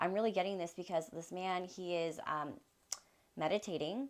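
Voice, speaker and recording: A woman speaks in a normal speaking voice at a moderate pace. Her pitch is fairly low, with ordinary pitch variation. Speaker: tarot reader. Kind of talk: tarot reading.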